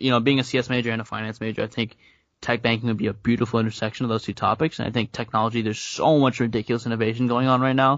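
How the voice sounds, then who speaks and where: At a very fast pace, a man with an American accent speaks at medium pitch in a monotone, flat way. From upstate New York. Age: 20s. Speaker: university student. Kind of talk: casual chat.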